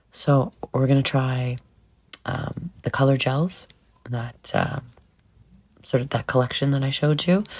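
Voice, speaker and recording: Her voice is very deep and low, somewhat breathy, with fairly even intonation. The woman speaks at a fairly slow pace with long, frequent pauses. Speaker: nail art creator. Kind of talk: tutorial. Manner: halting.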